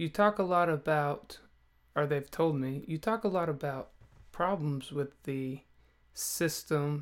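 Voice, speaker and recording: Soft-spoken and very slow, this voice sits on a very clean recording with a silent background. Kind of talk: sermon.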